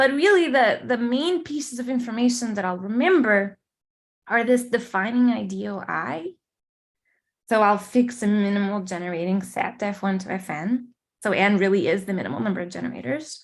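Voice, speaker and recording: A woman with a Portuguese accent speaks at a moderate pace, somewhat breathy, with lively intonation. The recording is very clean, the background silent. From Portugal or Brazil. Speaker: mathematician. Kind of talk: lecture. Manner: hesitant, many fillers.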